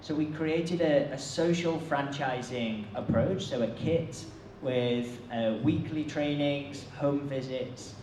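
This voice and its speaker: A man with a British accent speaks at a very slow pace, his pitch fairly high with ordinary variation. Noticeable background noise and audible room echo come through on the clip. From UK. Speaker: social enterprise foundation director. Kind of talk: conference keynote talk. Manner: hesitant with fillers and repeats.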